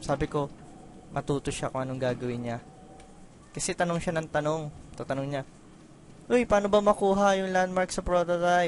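A man's high-pitched voice at a fairly quick pace, with ordinary pitch variation and long, frequent pauses. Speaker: gaming let's play commentator. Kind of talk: casual gameplay commentary. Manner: halting.

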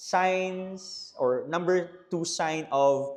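This man talks with ordinary pitch variation. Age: 30s. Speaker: pastor and podcast host. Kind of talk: casual Taglish podcast monologue.

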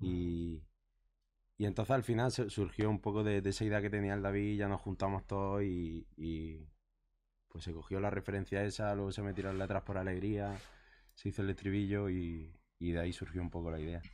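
At a moderate pace, a man speaks with fairly even intonation, a fairly low pitch and a dark, mellow tone. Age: 20s. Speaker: musician; guest. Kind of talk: casual chat. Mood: relaxed, conversational. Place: shop. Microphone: studio mic.

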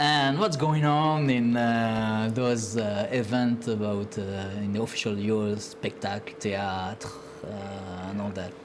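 Against noticeable background noise, a man with a French accent speaks at a fairly slow pace with ordinary pitch variation. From France. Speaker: TV talk show co-host. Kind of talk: talk show hosting. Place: studio. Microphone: lapel.

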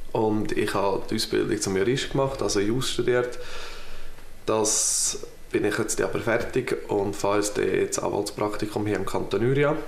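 With a Swiss German accent, a man talks at a moderate pace, and audible room echo surrounds his voice. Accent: Swiss German (Uri). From Switzerland (canton Uri). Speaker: political candidate. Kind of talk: campaign self-introduction. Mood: calm, friendly. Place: home room.

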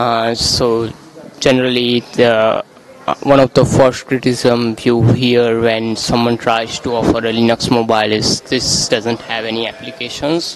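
A man with an Indian accent at a fairly slow pace and in a monotone, flat intonation, a dry sound with no echo and noticeable background noise. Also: medium pitch for a man. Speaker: software developer; interviewer. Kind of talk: interview. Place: hall. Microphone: handheld.

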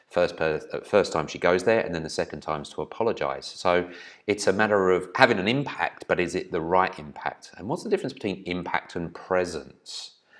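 Fairly quick pace from a man, quiet background. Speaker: business trainer. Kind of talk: presentation. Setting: video recording. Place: home room. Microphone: webcam.

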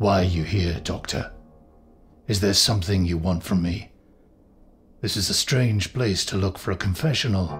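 A man's put-on character voice, gruff and growling at a very deep, low pitch with ordinary pitch variation, a moderate pace and long, frequent pauses, with music in the background. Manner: grim, gruff, guarded; intense, pressing.

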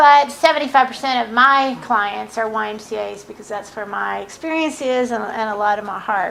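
A woman at a moderate pace with hardly any pauses and big swings in loudness, amid noticeable background noise. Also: fairly high pitch for a woman, ordinary pitch variation. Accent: slight Southern US. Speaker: consultant. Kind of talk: presentation.

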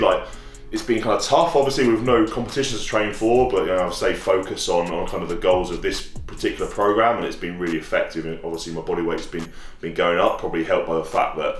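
A man talking at a very fast pace, with audible room echo and faint music in the background. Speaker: strength athlete vlogger. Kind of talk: casual vlog chat. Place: gym.

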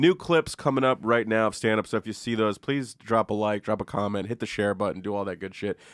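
Speaking at a very fast pace with hardly any pauses, a man uses a fairly low pitch and ordinary pitch variation, heard as a dry sound with no echo against a quiet background. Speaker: comedy podcast host. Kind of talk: casual chat. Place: studio. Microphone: studio mic.

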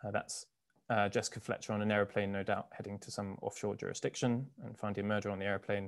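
Against a quiet background, a man talks very fast in a fairly low pitch with flat, monotone intonation. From South Africa. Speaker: barrister; presenter. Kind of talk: lecture. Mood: light humour. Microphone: webcam.

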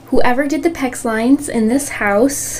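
With music in the background, a woman speaks with ordinary pitch variation. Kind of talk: casual vlog chat. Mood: mildly frustrated. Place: home room. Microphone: phone near.

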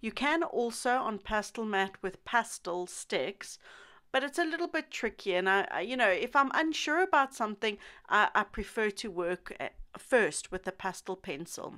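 Her tone bright and sharp, a woman speaks at a fairly high pitch with very wide pitch swings. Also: moderate pace, very clean recording, silent background. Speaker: pastel artist. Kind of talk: tutorial. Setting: studio. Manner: informal, rambling, self-deprecating.

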